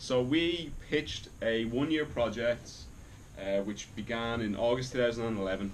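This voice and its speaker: A man with an Irish accent talks at a moderate pace, with audible room echo around his voice. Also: medium pitch for a man, ordinary pitch variation. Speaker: academic researcher, lecturer. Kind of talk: lecture.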